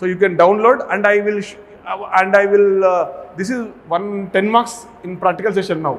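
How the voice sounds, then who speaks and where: Amid noticeable background noise and audible room echo, a man speaks with an Indian accent. His pitch is high and his intonation fairly even. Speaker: medical college pharmacology lecturer. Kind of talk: lecture. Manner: fast.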